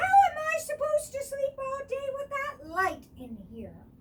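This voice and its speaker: A woman uses a squeaky, put-on character voice at an extremely high pitch. Her intonation is lively and her pace moderate. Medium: read story. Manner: grumpy.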